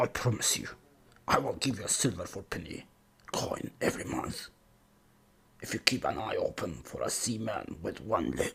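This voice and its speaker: A man's put-on character voice, raspy and medium in pitch, broken by long, frequent pauses. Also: moderate pace. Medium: audio drama. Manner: rough, commanding.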